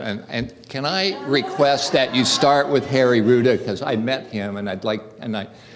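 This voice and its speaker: The speech moves at a moderate pace with lively intonation, audible room echo, and noticeable background noise. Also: man. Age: 70s. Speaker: audience member asking question. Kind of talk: audience question. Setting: town hall with audience. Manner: halting, many fillers.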